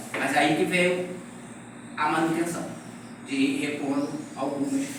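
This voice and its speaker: Amid noticeable background noise and audible room echo, a man speaks in a fairly high voice with ordinary pitch variation. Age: 60s. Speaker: mangrove restoration worker giving a talk. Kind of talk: lecture with Q&A. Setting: field talk to graduate students. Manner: animated, with repetitions and hesitations.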